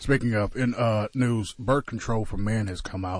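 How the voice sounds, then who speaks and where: Somewhat breathy speech comes through over a quiet background. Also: man. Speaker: radio host. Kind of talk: casual banter. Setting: studio.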